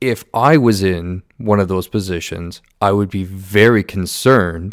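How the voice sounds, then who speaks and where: In a Canadian accent, a man has a normal speaking voice with a fairly low pitch and fairly even intonation. He talks at a fairly slow pace on a very clean recording with a silent background. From Southern Ontario, Canada. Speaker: police officer and podcast host. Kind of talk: solo monologue.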